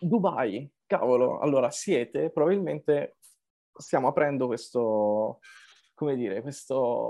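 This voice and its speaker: At a very slow pace, a man talks with a medium-pitched voice. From Rho, Milan area, northern Italy. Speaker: podcast host, designer. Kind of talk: casual interview chat. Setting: video call. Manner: animated.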